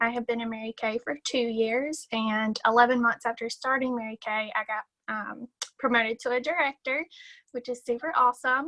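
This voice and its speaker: With a Southern US accent, a woman speaks at a moderate pace and high pitch, with fairly even intonation and a bright, sharp tone, in a dry, close sound with no echo over a quiet background. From US South, South Carolina. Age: 20s. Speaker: sales director. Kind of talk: casual chat.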